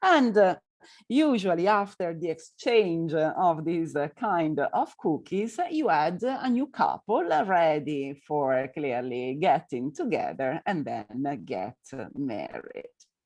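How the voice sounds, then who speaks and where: A woman with an Italian accent speaks at a very slow pace in a fairly low voice, her pitch swinging very widely against a quiet background. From northern Italy. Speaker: tour guide. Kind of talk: lecture. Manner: halting, many fillers.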